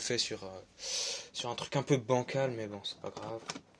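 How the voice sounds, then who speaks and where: The delivery has fairly even intonation at a moderate pace. Background noise is noticeable. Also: man. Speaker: YouTuber, card collector. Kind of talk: casual unboxing video. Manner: hesitant, many fillers.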